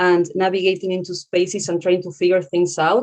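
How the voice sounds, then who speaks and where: A woman at a moderate pace, with a Spanish accent. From Argentina. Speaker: author and consultant. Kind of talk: panel discussion.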